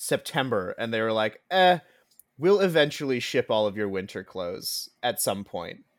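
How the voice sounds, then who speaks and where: The speaker moves at a moderate pace with very wide pitch swings. The recording is very clean, with a silent background. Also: man, medium pitch for a man. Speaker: podcast guest. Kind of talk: casual chat. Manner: animated.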